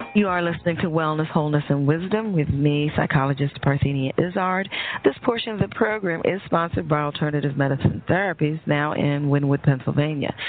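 Over noticeable background noise, a woman with an American accent and a very deep, low pitch speaks at a fairly quick pace with hardly any pauses and ordinary pitch variation. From New York. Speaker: radio host and psychologist. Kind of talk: interview on talk radio. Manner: halting.

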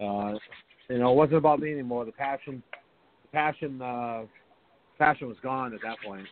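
At a moderate pace, a man uses a normal speaking voice with a medium pitch, ordinary pitch variation and big swings in loudness. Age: 40s. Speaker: retired pro hockey player. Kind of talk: casual chat.

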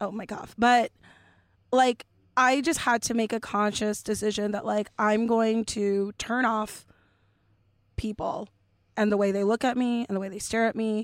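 A woman with a Californian accent speaks at a fairly high pitch in a monotone, flat intonation at a moderate pace with long, frequent pauses, on a very clean recording with a silent background and a dry, close sound with no echo. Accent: Californian American. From Los Angeles, Dominican family. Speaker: comedian. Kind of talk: casual chat.

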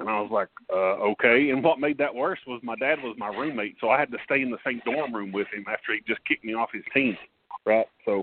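A man speaks with an Appalachian accent at a medium pitch. His pace is fairly quick, with ordinary pitch variation. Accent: Appalachian Kentucky. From eastern Kentucky, Paintsville. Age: 40s. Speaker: former basketball player and coach. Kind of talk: interview. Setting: phone call.

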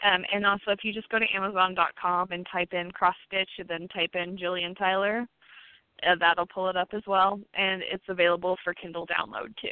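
A woman speaks at a moderate pace with an unremarkable speaking voice and a medium pitch. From Indiana, Posey County. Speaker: novelist. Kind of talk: radio interview.

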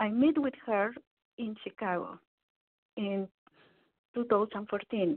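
A woman speaks at a very slow pace with a fairly high pitch. Her pauses are long and frequent. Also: ordinary pitch variation. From Mexico (Veracruz). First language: Spanish. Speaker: psychologist and life coach. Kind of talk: interview. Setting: phone call.

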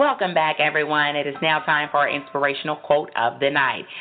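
Someone talks at a fairly quick pace in an upbeat, enthusiastic tone over noticeable background noise. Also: woman. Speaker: radio host. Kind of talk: radio host intro. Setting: radio broadcast. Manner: polished, upbeat, enthusiastic.

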